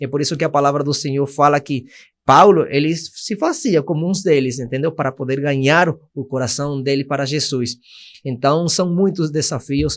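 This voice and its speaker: A man's fairly high voice with a slight Spanish accent, against a quiet background. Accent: Spanish accent in Portuguese, mild. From Venezuela, Caracas. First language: Spanish (speaking Portuguese). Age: 20s. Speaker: missionary. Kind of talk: testimony.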